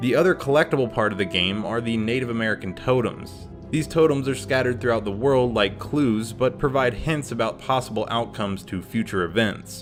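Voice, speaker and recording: With music in the background, a man of medium pitch talks at a fairly quick pace with ordinary pitch variation and hardly any pauses. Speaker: game reviewer. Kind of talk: video game review narration. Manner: casual.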